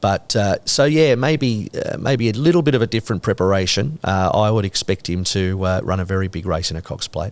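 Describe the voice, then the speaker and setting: In an Australian accent, a man speaks at a fairly low pitch and a fairly quick pace. The recording is very clean with a silent background. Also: lively intonation, hardly any pauses. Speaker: horse racing caller. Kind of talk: podcast interview answer. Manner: casual, enthusiastic.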